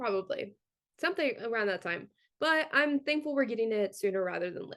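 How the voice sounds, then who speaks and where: A woman talks at a fairly quick pace in an animated tone. Her fairly high pitch moves in very wide swings. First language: not English. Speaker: podcast co-host. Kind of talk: casual chat.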